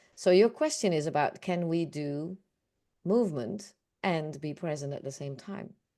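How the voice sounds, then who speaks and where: A woman with a Dutch accent talks at a moderate pace and a fairly low pitch with ordinary pitch variation over a quiet background. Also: big swings in loudness. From Netherlands. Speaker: awareness coach. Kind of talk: group session discussion.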